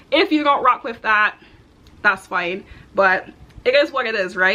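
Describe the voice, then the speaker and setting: With a slight Barbadian accent, a woman sounds upbeat, her fairly high voice making very wide pitch swings. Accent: slight Barbadian (Bajan). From Houston, Texas, to Barbadian parents. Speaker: content creator, aspiring software engineer. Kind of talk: casual vlog introduction. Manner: chatty, upbeat.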